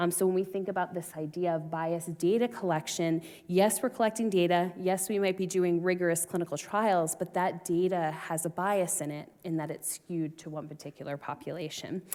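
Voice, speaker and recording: With a slight Boston accent, a woman talks at a fairly quick pace with hardly any pauses, her fairly low pitch held in fairly even intonation and a dark, mellow tone. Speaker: research scientist. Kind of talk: conference panel discussion.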